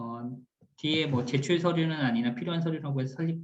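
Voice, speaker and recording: A man speaks at a very fast pace with ordinary pitch variation, and audible room echo surrounds his voice. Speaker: cooperative support team leader, instructor. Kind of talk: recorded lecture.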